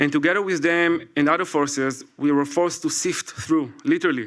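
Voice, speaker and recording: In an Israeli accent, a man speaks at a moderate pace. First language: Hebrew. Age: 40s. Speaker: military reserve investigator. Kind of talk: prepared speech read aloud. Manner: halting.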